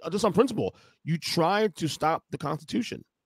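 Against a quiet background, a man speaks in a high pitch, the sound dry with no echo. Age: 40s. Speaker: podcast host. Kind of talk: casual chat. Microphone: studio mic.

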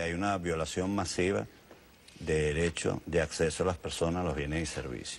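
A man with a very deep, low voice talks with ordinary pitch variation over light background noise. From Venezuela. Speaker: government official; guest. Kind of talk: TV interview. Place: studio. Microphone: lapel.

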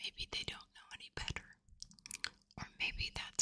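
At a fairly slow pace, a woman is whispering. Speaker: ASMR creator. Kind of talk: ASMR personal attention, whispered. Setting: close-mic studio recording with gain turned up. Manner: whispered, soft, intimate. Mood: warm, reassuring. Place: home room. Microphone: studio mic.

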